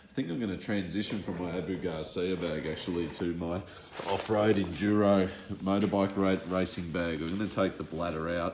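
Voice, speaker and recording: A man speaks with a very deep, low pitch and an Australian accent. His intonation is fairly even, and there is audible room echo. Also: moderate pace. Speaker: fishing lure vlogger. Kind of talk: casual gear walkthrough. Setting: home shed at night.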